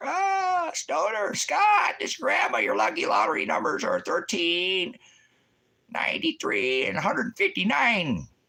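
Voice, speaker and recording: A man uses a put-on character voice at a high pitch. He speaks very slowly in a raised, projected voice. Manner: ghostly ventriloquist-style.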